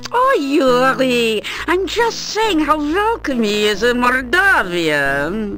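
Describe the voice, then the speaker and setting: Against clear background noise, a put-on character voice moves at a very slow pace with very even loudness. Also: woman, high pitch for a woman. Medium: video game. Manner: chatty, warm, effusive.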